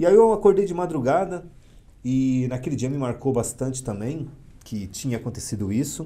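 This man's voice sits at a medium pitch with lively intonation. Its tone is dark and mellow. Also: moderate pace. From São Paulo, east zone (São Miguel Paulista). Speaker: psychologist and military police officer. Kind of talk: interview on a live podcast.

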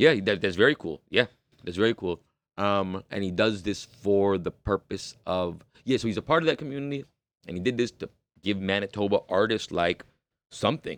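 The speaker talks with a Toronto accent at a moderate pace, with ordinary pitch variation. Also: man, fairly low pitch for a man. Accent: Toronto Canadian English. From Canada, Toronto. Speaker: rapper. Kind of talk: casual interview chat.

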